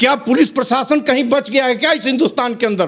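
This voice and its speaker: A man's extremely high-pitched voice carries ordinary pitch variation. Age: 60s. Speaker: activist. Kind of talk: interview. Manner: angry, animated.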